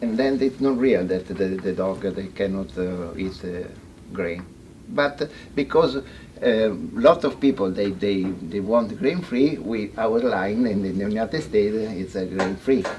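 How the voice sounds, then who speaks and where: Using lively intonation, a man speaks at a fairly slow pace with an Italian accent. His pitch sits fairly low. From Italy. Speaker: veterinarian. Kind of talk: seminar talk. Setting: in-person seminar with audience. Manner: halting, many hesitations and repetitions.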